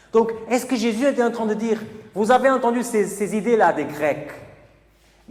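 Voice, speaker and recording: A man with a Portuguese accent speaks at a moderate pace in a high pitch. Noticeable background noise and audible room echo fill the recording. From Portugal (Porto). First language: Portuguese (speaking French). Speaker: preacher. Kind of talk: sermon.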